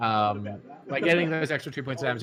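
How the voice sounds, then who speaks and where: There is noticeable background noise as a man with an Australian accent speaks with ordinary pitch variation. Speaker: card game tournament commentator. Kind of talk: live commentary. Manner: fast.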